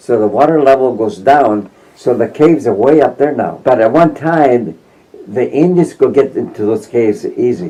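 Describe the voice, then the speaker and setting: With a dark, mellow tone, a man speaks at a moderate pace. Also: medium pitch for a man, lively intonation. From Mimbres Valley, New Mexico. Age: 90s. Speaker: World War II veteran. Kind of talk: interview answer.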